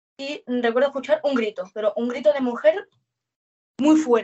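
A woman speaks in a high pitch. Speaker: witness. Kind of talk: testimony.

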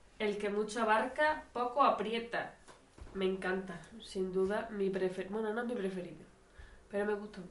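A woman with a medium pitch and ordinary pitch variation speaks over noticeable background noise. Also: moderate pace. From Spain. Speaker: amateur podcast co-host. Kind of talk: casual chat.

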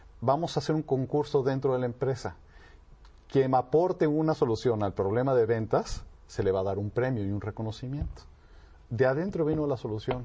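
At a fairly quick pace, a man speaks in a somewhat breathy voice. His medium pitch shows ordinary variation. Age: 40s. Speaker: business ethics expert. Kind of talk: talk show interview.

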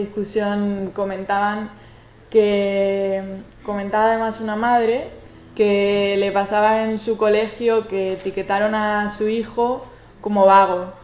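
A woman at a medium pitch, monotone and flat, fairly slow, with big swings in loudness and audible room echo. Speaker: social researcher. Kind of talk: conference talk. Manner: stuttering at times.

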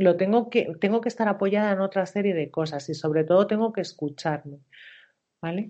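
A woman talks at a fairly quick pace with a medium pitch and ordinary pitch variation. She has an unremarkable speaking voice. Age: 40s. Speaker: coach and therapist. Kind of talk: interview.

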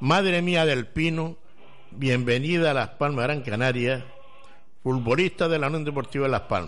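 A man talks with ordinary pitch variation, his voice carrying audible room echo. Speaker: radio host. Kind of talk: casual chat.

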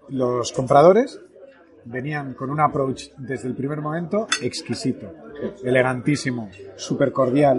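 Through noticeable background noise, a man talks with a fairly high pitch and ordinary pitch variation. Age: 40s. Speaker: podcast host, entrepreneur. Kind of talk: casual interview over lunch. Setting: restaurant.

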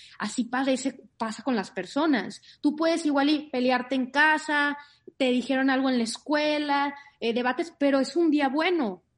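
A woman with a high pitch speaks with very even loudness and ordinary pitch variation. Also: moderate pace. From Monterrey, northern Mexico. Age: 30s. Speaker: author and life coach. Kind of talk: interview.

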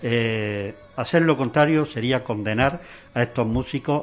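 Music plays in the background as a man talks at a fairly slow pace. His pitch is medium with ordinary variation. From Granada, Spain. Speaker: musician. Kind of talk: interview.

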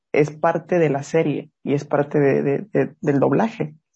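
The man sounds somewhat breathy at a fairly high pitch. His intonation is monotone and flat. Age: young. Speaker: podcast host. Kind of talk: casual interview. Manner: halting, repeats words.

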